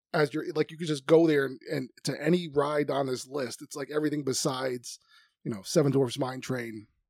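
Recorded dry and close with no echo, a normal speaking voice delivers its words with fairly even intonation. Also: man. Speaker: podcast host and travel agent. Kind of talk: casual chat podcast banter.

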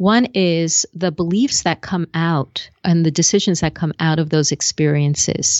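With an American accent and a plain, everyday voice, a woman speaks at a fairly slow pace and a fairly low pitch, with ordinary pitch variation and very even loudness. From US Northeast. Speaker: speaking coach and TV host. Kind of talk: casual interview chat. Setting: video call.

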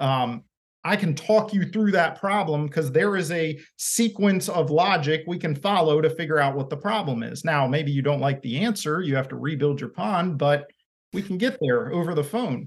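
This man has an American accent and a fairly high pitch. He moves at a moderate pace with ordinary pitch variation. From Maryland, US. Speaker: pond construction business owner. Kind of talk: casual interview. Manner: clear.

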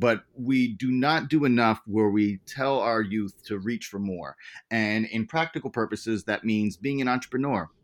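With a plain, everyday voice, a man speaks at medium pitch and a moderate pace, with ordinary pitch variation over a quiet background. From US Virgin Islands (St. Croix). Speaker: rapper and educator. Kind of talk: interview.

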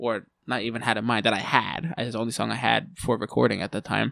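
A man's medium-pitched, bright, sharp voice with vocal fry, fairly even intonation and a very fast pace, on a very clean recording with a silent background. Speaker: musician. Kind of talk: casual chat. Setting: studio.

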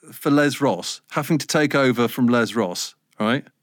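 This is a man speaking. The recording is very clean, with a silent background. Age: 50s. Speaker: radio presenter. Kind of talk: casual chat.

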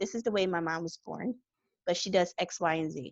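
A woman with a plain, everyday voice and a medium pitch talks at a moderate pace, with a quiet background and a dry, close sound with no echo. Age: 30s. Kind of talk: interview.

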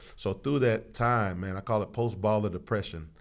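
In an ordinary speaking voice, a man with an American accent talks at a fairly quick pace, fairly low in pitch with fairly even intonation. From Houston, Texas. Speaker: pastor. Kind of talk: casual chat. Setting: studio.

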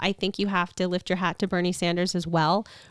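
A woman with an American accent has an unremarkable speaking voice at medium pitch, talking at a moderate pace on a very clean recording with a silent background. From Long Island, New York. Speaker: congressional candidate. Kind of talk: interview. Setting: home podcast studio.

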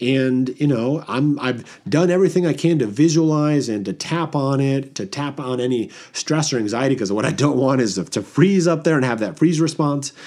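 This man talks at a moderate pace with hardly any pauses, his fairly high voice carrying a dark, mellow tone and ordinary pitch variation. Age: 30s. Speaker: podcast host and tapping coach. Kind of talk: solo podcast talk. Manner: casual, conversational with fillers.

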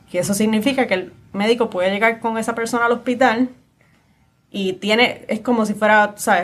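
A woman's plain, everyday voice, fairly high in pitch, with fairly even intonation. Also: fairly quick pace. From Puerto Rico, San Juan area. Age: young. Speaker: lawyer, podcast host. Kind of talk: interview conversation.

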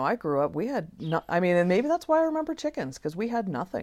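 With very wide pitch swings, a woman with an American accent talks at a fairly quick pace in a very clean recording with a silent background. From Idaho, US. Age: 40s. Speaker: archaeologist. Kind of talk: casual interview chat. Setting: outdoors on a covered deck.

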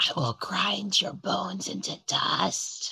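Someone does a raspy put-on character voice at a fairly slow pace. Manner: menacing, taunting.

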